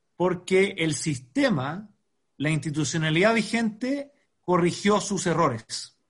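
With lively intonation, a man speaks in a high pitch. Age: 40s. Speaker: education nonprofit founder and engineer. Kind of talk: podcast interview.

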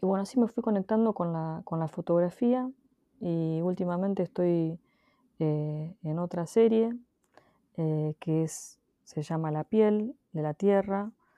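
A woman with a fairly low pitch and ordinary pitch variation talks at a fairly slow pace. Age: 40s. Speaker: photographer. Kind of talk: interview. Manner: halting.

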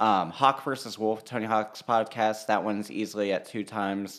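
A man with a fairly low pitch speaks in an unremarkable speaking voice. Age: 30s. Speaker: podcast host. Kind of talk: casual chat.

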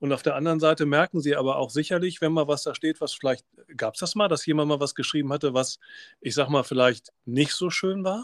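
In an unremarkable speaking voice, a man with a fairly high pitch and ordinary pitch variation talks at a fairly quick pace, recorded very clean with a silent background and a dry, close sound with no echo. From Germany, Rhineland (Oberdollendorf near Bonn). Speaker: teacher and podcast host. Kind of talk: podcast interview.

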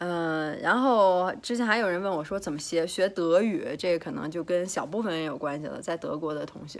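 At a moderate pace and with hardly any pauses, a woman talks in a fairly low pitch with ordinary pitch variation. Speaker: fitness coach and vlogger. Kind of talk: casual vlog monologue. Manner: chatty, hesitant with fillers and repetitions.

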